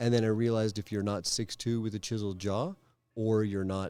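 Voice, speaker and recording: A man speaks with a Canadian accent at a fairly low pitch. His tone is dark and mellow, with fairly even intonation. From Calgary, Canada. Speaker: stand-up comedian. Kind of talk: interview answer.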